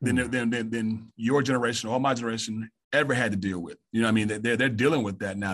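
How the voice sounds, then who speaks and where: The intonation is monotone and flat. It comes with a Southern US accent. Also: man. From Mississippi, US South. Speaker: high school assistant principal and coach. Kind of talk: casual interview.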